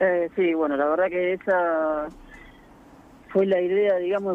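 A man with a high-pitched voice speaks. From Argentina, Buenos Aires province (Orense). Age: 30s. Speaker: keyboardist and amateur basketball player. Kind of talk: radio interview.

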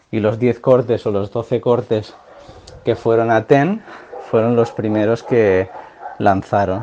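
Very slow speech with fairly even intonation and long, frequent pauses, against noticeable background noise. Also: man, medium pitch for a man. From Catalonia, Pyrenees near Andorra. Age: 30s. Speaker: music fan, cultural promoter. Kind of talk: recorded testimony.

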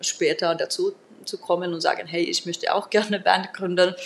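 A woman speaks at a moderate pace over noticeable background noise. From Finland, Turku. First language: Finnish (speaking German). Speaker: singing teacher and metal musician. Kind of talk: interview.

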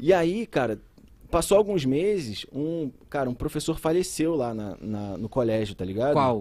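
A man with a slight mineiro accent speaks fairly slowly in a fairly high, dark, mellow tone that swings very widely in pitch. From Brazil, São José dos Campos area. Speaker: biology teacher. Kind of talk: casual chat.

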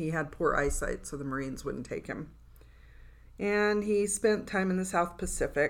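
A woman speaks at a moderate pace with vocal fry, in a very clean recording against a silent background. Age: 60s. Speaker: writers' podcast co-host. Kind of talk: casual chat. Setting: studio.

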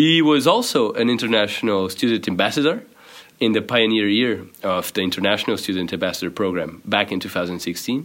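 A man speaks with a Portuguese accent at a fairly low pitch. His intonation is lively. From Portugal. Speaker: podcast host, student. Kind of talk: reading aloud; interview. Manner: hesitant.

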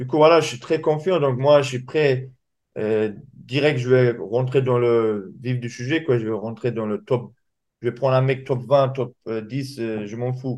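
A man speaks very slowly at a medium pitch. His intonation is fairly even. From Dagestan, Russia. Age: young. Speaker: MMA fighter. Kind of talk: interview.

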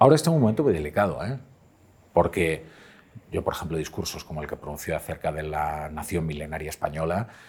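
With lively intonation, a man speaks. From Galicia, Pontevedra. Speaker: journalist and columnist. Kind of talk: interview conversation.

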